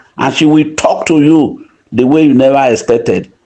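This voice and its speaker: A man's fairly high voice moves at a moderate pace and shows ordinary pitch variation. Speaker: community leader and preacher. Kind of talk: voice note appeal. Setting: voice note recording. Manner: soft-spoken.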